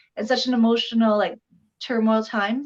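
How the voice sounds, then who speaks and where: Fairly high-pitched and fairly quick, a woman with a Canadian accent speaks in a monotone, flat way. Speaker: entrepreneur and legal services advocate. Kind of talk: casual interview chat. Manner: fast.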